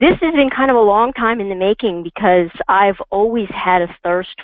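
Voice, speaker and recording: This woman has a plain, everyday voice, medium in pitch, and talks at a moderate pace. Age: 50s. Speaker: financial planner. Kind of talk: interview.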